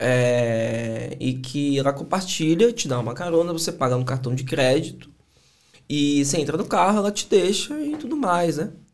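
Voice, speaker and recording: A man with a Bahian accent talks in a fairly high pitch with lively intonation. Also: moderate pace. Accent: Bahian Brazilian Portuguese. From Bahia, Brazil (Salvador). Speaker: entrepreneur and sales mentor. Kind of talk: casual chat.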